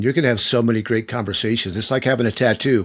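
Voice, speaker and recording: A man with a plain, everyday voice speaks with fairly even intonation. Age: 60s. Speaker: podcast host. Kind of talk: interview conversation.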